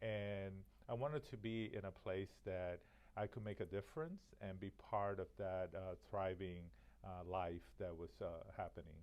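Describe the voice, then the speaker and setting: A fairly slow delivery in a Spanish accent, with ordinary pitch variation. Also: man, very deep, low pitch for a man. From Miami, Florida (born in Cuba). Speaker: college president. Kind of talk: interview. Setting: on location at the college.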